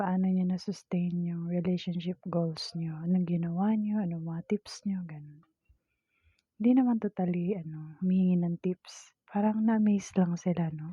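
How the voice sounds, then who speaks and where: A soft-spoken woman with a fairly low pitch talks in a somewhat breathy voice with fairly even intonation. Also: moderate pace. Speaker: vlogger. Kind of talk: casual chat. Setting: at home.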